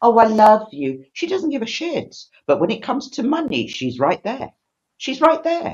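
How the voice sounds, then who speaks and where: A woman with a British accent and vocal fry, very wide pitch swings and a moderate pace. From Britain. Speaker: livestream host. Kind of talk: casual chat. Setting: live stream.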